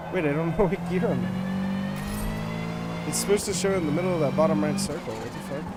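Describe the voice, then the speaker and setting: A man talks at a fairly quick pace with hardly any pauses, and the recording has audible room echo and noticeable background noise. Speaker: gaming streamer. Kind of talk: live stream gameplay commentary. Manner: casual, swearing-laden chatter.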